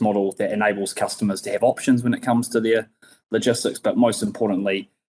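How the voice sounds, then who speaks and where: A man's medium-pitched voice, flat and monotone, in a dry, close sound with no echo. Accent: New Zealand. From New Zealand. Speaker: logistics company co-founder. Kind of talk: podcast interview.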